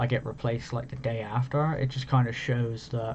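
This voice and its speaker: A man with a British accent speaks at a medium pitch and moderate pace, his intonation monotone and flat. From Britain. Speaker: gaming content creator. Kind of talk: casual vlog monologue. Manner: relaxed, rambling.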